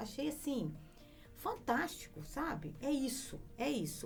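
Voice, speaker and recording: A woman talks while music plays behind her. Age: 60s. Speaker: lawyer. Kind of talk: casual chat.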